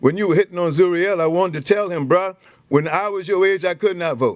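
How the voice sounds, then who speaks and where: A man with a high pitch and an American accent speaks at a very fast pace in an animated tone. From South Carolina. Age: 70s. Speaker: pastor testifying at public hearing. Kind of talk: public testimony. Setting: legislative committee hearing room. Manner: animated, preacher-like.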